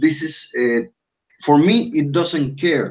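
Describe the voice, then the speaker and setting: A man with a Spanish accent talks at a very slow pace. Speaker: English teacher. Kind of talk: online language class. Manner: halting, many fillers and restarts.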